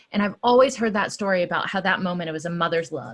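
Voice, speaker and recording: The voice carries an American accent and is somewhat breathy. Its pitch variation is ordinary. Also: woman. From US South, Georgia (Atlanta). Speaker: activist. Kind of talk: interview. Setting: stage with audience.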